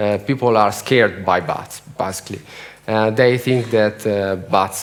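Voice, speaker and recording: There is audible room echo and noticeable background noise as a man with an Italian accent speaks at a fairly low pitch. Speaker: bat conservation researcher. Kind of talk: conference talk. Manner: halting.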